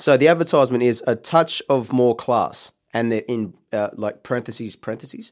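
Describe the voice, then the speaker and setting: In a very clean recording with a silent background, a man with an Australian accent speaks at a medium pitch and moderate pace with ordinary pitch variation. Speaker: horse racing podcast co-host. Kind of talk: casual chat.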